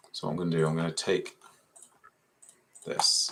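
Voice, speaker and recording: With an English accent, a man talks at a fairly quick pace. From Essex, England. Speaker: 3D fashion design tutor. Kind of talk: live software tutorial. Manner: casual, thinking aloud.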